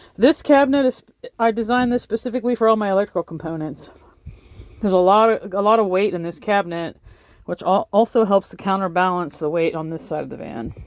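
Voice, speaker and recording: In a very clean recording with a silent background, a woman at medium pitch speaks very fast with lively intonation. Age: 50s. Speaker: van life vlogger. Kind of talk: casual video tour. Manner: casual, chatty with fillers.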